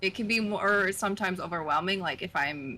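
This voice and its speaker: Her pitch sits in the medium range for a woman. She speaks at a moderate pace with an American accent. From US Pacific Northwest, northern Oregon. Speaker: streamer. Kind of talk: casual chat.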